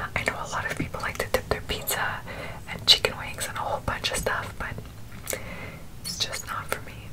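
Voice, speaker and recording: A woman whispers her words at a moderate pace. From Montreal, Quebec. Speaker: ASMR mukbang creator. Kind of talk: ASMR eating show talk to camera. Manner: whispered.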